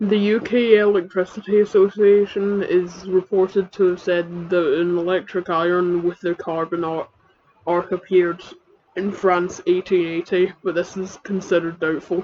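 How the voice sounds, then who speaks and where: The speaker has a Scottish accent and a moderate pace. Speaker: comedic YouTuber. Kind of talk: reading aloud. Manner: halting.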